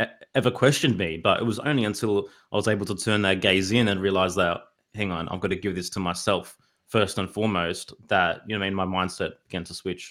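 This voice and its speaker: A very fast man's voice in an Australian accent, fairly low in pitch, with fairly even intonation. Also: very clean recording, silent background. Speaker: hip-hop artist and podcaster. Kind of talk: casual interview chat.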